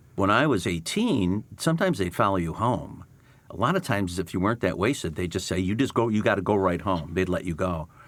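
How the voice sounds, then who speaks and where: An unremarkable speaking voice from a man with an American accent, fairly low pitch, ordinary pitch variation and a fairly quick pace. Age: 60s. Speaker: podcast host. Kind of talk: casual interview.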